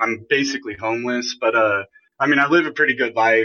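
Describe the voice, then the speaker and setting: A man with an American accent, in a plain, everyday voice, medium-pitched and fairly even in intonation. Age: 30s. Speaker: streamer and podcaster. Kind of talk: casual chat. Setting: call-in podcast.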